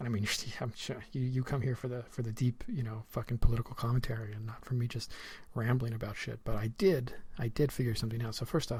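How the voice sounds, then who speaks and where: A dark, mellow, somewhat breathy tone at a very fast pace. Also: man, medium pitch for a man. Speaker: podcast host.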